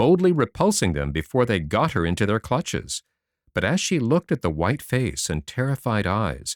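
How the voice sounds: Quiet surroundings behind a natural reading voice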